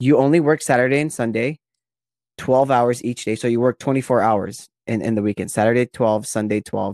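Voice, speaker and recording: A man with a normal speaking voice, medium pitch, fairly even intonation and a fairly quick pace, dry and close with no echo on a very clean recording with a silent background. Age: 20s. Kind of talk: casual chat.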